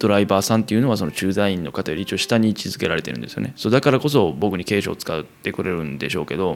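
A man's fairly low, lively voice with a Kansai accent and vocal fry, very fast with hardly any pauses. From Kansai, Japan. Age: 20s. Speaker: podcast host, expatriate worker. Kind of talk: solo casual monologue.

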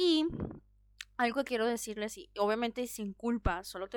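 Lively intonation at a moderate pace. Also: woman. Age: 30s. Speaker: podcast host. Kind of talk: solo podcast monologue. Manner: animated.

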